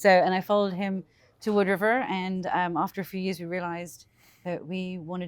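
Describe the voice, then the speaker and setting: A woman with an English accent speaks at a very fast pace, her medium pitch held in fairly even intonation. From England, London. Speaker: small business owner. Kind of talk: casual interview.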